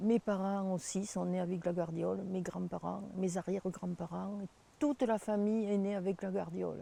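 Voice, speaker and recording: A woman's dark, mellow tone at medium pitch, with fairly even intonation and a moderate pace. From southern France, Hérault near Sète. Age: 80s+. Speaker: local resident. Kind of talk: interview testimony.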